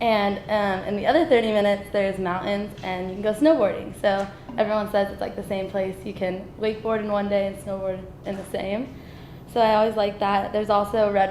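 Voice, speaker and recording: A woman with a General American accent, fairly even in intonation, with audible room echo. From US West, Las Vegas. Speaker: university student. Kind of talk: class presentation.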